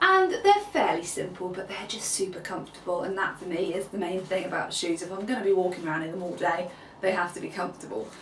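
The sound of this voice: A woman talks at a fast pace with fairly low pitch and lively intonation, and audible room echo surrounds her.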